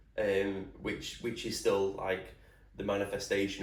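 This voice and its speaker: A somewhat breathy male voice with flat, monotone intonation. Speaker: podcast host, personal trainer. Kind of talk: casual solo podcast talk.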